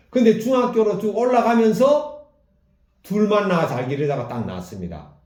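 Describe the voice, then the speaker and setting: A man with a high pitch speaks at a fairly slow pace with lively intonation. Audible room echo surrounds his voice. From South Korea. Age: 60s. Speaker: pastor. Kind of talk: sermon.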